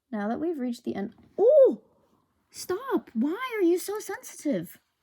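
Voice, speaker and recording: This woman talks loudly at a fairly slow pace, her extremely high voice swinging very widely in pitch. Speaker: podcast host. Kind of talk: casual solo podcast talk.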